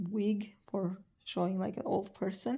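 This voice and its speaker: In a very clean recording with a silent background, a woman with a dark, mellow tone and a slight non-native accent speaks at a fairly slow pace with fairly even intonation. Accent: slight foreign. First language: not English. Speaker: vlogger, cancer patient. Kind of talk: casual vlog. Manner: slow, word-searching; halting.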